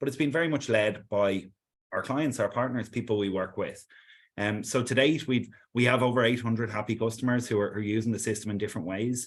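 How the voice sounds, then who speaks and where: Someone with an Irish accent speaks at a very fast pace over a quiet background. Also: man. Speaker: sales executive. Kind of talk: webinar presentation. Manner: hesitant, repeats words.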